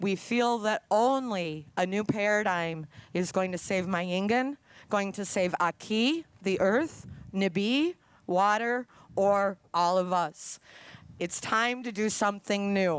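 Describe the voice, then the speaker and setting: Speaking very slowly with an Upper Midwest accent, a woman uses a medium pitch and ordinary pitch variation on a very clean recording with a silent background. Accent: Upper Midwest American. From Minnesota, Duluth. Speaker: activist. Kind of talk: rally speech.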